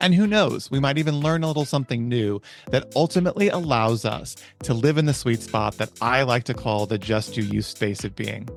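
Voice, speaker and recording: A man's medium-pitched voice with lively intonation at a fairly quick pace, music playing in the background. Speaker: podcast host. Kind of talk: podcast intro.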